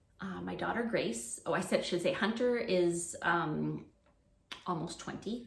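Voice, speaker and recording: Amid audible room echo and noticeable background noise, a woman speaks fairly slowly at a fairly low pitch. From Canada. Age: 40s. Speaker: preschool teacher and education vlogger. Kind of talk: casual unscripted chat to camera. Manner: hesitant, many fillers.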